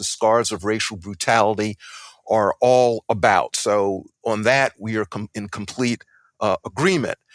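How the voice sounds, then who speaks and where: A man with an American accent speaks in a plain, everyday voice at medium pitch, with fairly even intonation and a fairly slow pace. The sound is dry and close, with no echo. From US South, Columbia, South Carolina. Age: 60s. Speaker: debater, law scholar. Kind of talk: debate.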